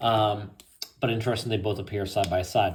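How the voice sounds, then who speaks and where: This man sounds somewhat breathy. He talks at a fairly quick pace. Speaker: tarot reader. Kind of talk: tarot reading. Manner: casual, conversational.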